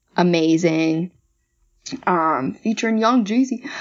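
Here is a woman with a plain, everyday voice and an American accent. She speaks at a fairly slow pace with a fairly low pitch. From Maryland. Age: 20s. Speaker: stage actor. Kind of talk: casual chat.

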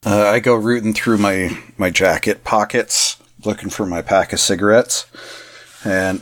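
In a relaxed tone, a man speaks fairly slowly at a fairly low pitch with fairly even intonation. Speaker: stay-at-home dad and player. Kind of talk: tabletop RPG roleplay, noir detective narration. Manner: dry, deadpan noir detective delivery; relaxed, casual, hesitant with fillers.

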